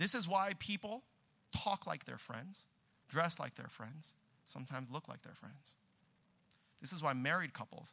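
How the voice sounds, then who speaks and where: With an American accent and vocal fry, a man talks at a moderate pace while his pitch swings very widely. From Southern California. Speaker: pastor. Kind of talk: sermon. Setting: church with congregation.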